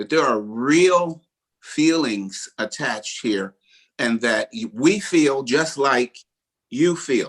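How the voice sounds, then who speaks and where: A man speaks at a very slow pace, his pitch swinging very widely. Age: 60s. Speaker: bishop and pastor. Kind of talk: panel discussion.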